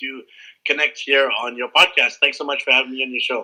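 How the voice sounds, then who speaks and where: A man with a Canadian accent speaks at a very fast pace. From Canada, Vancouver. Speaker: travel blogger. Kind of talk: podcast interview.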